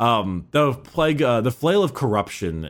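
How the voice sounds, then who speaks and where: Speaking at a fairly slow pace, a man's voice moves through very wide pitch swings. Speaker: podcast co-host. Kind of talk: casual banter podcast.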